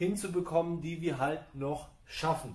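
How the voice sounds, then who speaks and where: A man speaks with a high voice. There is audible echo in the room. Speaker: fitness trainer. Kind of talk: workout explanation. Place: gym. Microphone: camera far.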